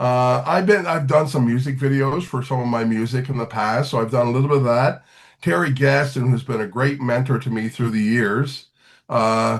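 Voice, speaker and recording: Against a quiet background, a man with an ordinary speaking voice talks at a moderate pace, medium in pitch with ordinary pitch variation. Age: 60s. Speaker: singer-songwriter and teacher. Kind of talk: podcast interview.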